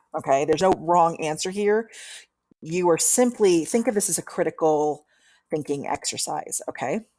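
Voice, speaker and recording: At a fairly slow pace, a woman with a fairly low voice and a dark, mellow tone speaks with ordinary pitch variation. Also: very clean recording, silent background. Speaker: college instructor. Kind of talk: tutorial.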